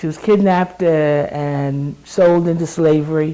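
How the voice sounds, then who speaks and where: Her voice very deep and low, a woman speaks at a fairly slow pace with ordinary pitch variation. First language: sign language. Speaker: lay preacher. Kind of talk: interview reflection. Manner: halting.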